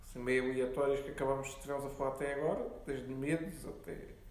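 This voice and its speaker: Room echo can be heard around the voice. The man talks with a fairly high pitch. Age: 20s. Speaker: podcast co-host, law student. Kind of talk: casual chat.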